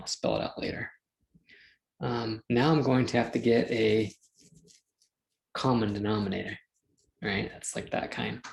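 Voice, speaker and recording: At a fairly slow pace, a man speaks with lively intonation and vocal fry. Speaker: math teacher. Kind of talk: lecture. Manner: casual, thinking aloud.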